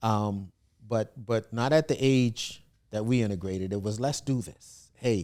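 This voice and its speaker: A man with an American accent speaks at a fairly slow pace in a medium pitch, his tone dark and mellow and his pitch variation ordinary. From US South, South Carolina (Williamsburg County). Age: 60s. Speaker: historic preservationist and author. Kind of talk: interview.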